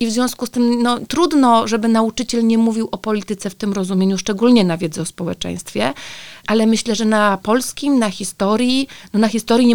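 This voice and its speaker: The sound is dry and close, with no echo. A woman with a fairly high pitch speaks at a very fast pace. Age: 40s. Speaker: teacher and sex educator. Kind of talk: casual chat.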